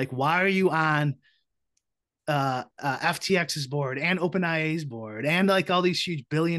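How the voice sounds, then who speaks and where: A man with an American accent at a fairly slow pace, fairly high in pitch with ordinary variation, bright and sharp in tone, over a quiet background. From Chicago, US Midwest. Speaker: podcast guest. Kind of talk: casual chat.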